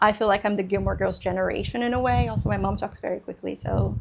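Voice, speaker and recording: A woman talks at a fairly quick pace. She has a Portuguese accent. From Brazil. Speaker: book vlogger. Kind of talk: casual chat. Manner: fast.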